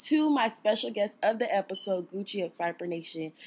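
With an American accent, a woman speaks in a normal speaking voice, her pitch fairly high and her pitch variation ordinary. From South Central Los Angeles. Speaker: podcast host. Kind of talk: casual interview; scripted show outro.

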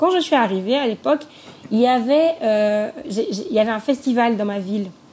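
Over noticeable background noise, a woman talks with lively intonation at a fairly high pitch. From Côte d'Ivoire, Grand-Bassam. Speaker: entrepreneur. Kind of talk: interview. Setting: remote call.

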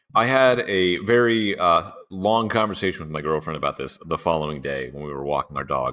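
The speech runs at a fairly quick pace with hardly any pauses. Pitch swings very widely and loudness shifts a lot. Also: man, very deep, low pitch for a man. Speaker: podcast host. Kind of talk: casual chat. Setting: video call.

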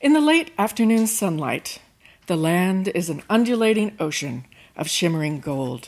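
The pitch swings very widely at a moderate pace. The recording is very clean, with a silent background. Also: woman, medium pitch for a woman. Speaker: storyteller performing personal story. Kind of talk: live storytelling performance. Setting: stage with audience.

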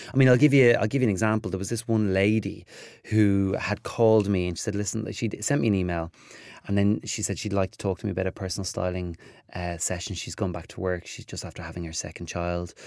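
A man with a Dublin accent, fairly low in pitch with ordinary pitch variation, at a very fast pace. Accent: Dublin Irish. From Ireland, north Dublin. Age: 30s. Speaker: TV presenter and style commentator. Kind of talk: interview.

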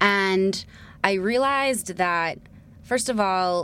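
A plain, everyday voice with an American accent and ordinary pitch variation comes through on a very clean recording with a silent background. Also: woman. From New Jersey, US. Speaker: entrepreneur and journalist. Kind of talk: interview conversation. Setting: studio.

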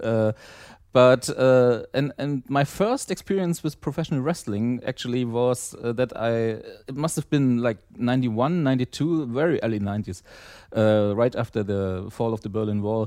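A man in a German accent at a medium pitch and moderate pace, with ordinary pitch variation, a dark, mellow tone, and a quiet background. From East Germany. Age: 30s. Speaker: wrestling fan, podcast listener. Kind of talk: casual chat.

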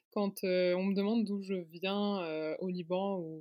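A woman's voice with fairly even intonation, an unremarkable speaking voice. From Luxembourg. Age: 20s. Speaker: fashion designer and magazine founder. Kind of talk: casual interview.

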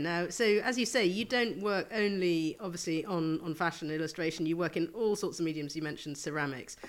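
Someone speaks at a very fast pace with hardly any pauses over noticeable background noise. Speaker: interviewer. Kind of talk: casual interview chat. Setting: in guest's flat, Hackney.

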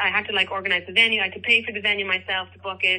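With an Irish accent, a woman speaks at a medium pitch in a monotone, flat intonation. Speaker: singer-songwriter and teacher. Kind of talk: interview.

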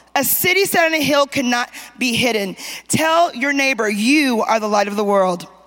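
Animated, high female voice with very wide pitch swings at a moderate pace, over noticeable background noise. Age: 50s. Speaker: preacher. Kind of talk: sermon. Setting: church conference, stage with audience. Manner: animated, call-and-response preaching.

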